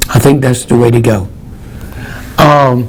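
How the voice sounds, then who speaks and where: Someone speaks with a North Carolina accent over noticeable background noise. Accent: Southern US (North Carolina). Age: 70s. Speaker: herbalist, natural health store owner and TV host. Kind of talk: local TV health talk. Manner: conversational, with fillers and hesitations.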